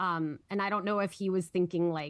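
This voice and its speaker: Against a quiet background, a woman with a Minnesotan accent speaks with fairly even intonation. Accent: Minnesota. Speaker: podcast co-host, former high school English teacher. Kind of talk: casual political discussion.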